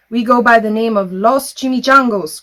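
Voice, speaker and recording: A put-on character voice growls at a fairly high pitch. It moves along at a moderate pace. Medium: read story. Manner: growling, solemn.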